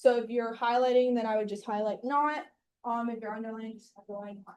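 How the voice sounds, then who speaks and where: Talking at a very fast pace, a woman uses a fairly high pitch and fairly even intonation, with big swings in loudness. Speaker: sales team trainer. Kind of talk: training session. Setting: room with live group and Zoom.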